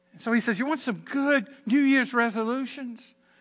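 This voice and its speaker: Against a quiet background, a raised, projected voice carries a bright, sharp tone. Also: man. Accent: American. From Southern Virginia, US. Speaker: pastor. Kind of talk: sermon. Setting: church with congregation and online stream.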